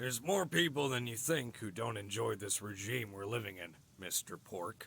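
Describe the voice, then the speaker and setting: Putting on a raspy character voice, a man talks at a moderate pace and medium pitch with lively intonation. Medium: game stream. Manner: authoritative, condescending.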